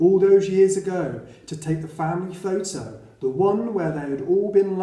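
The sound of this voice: This is an unforced reading voice. It stays unforced throughout.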